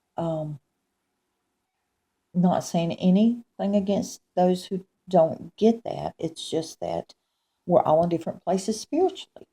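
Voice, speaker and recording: A woman at medium pitch and a fairly slow pace, dark and mellow in tone and somewhat breathy, with ordinary pitch variation, long, frequent pauses, and a dry, close sound with no echo. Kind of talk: religious testimony, recounting a dream. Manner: hesitant, many fillers.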